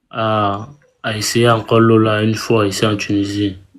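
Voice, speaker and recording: A man with a Cameroonian accent speaks very slowly at a medium pitch. His intonation is flat and monotone. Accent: Cameroonian street French. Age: young. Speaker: migrant asking for help. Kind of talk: appeal for help on live stream. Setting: live video stream. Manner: halting.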